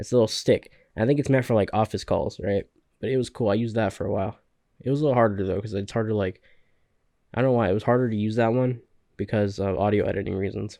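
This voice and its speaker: With an American accent, a man talks at a very fast pace in a medium pitch and a dark, mellow tone. His intonation is fairly even, and the background is quiet. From Central California valley. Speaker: podcaster and gaming youtuber. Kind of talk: solo podcast monologue. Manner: casual, halting with fillers.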